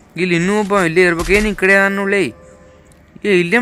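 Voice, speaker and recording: Music plays in the background as a man speaks. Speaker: gaming YouTuber. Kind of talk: live gameplay commentary. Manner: animated; soft-spoken.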